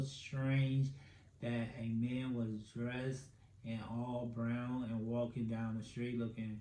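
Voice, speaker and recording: A man's monotone, flat delivery at medium pitch, with audible room echo. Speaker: podcast host. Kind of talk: casual solo podcast commentary. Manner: filler-heavy, stammering.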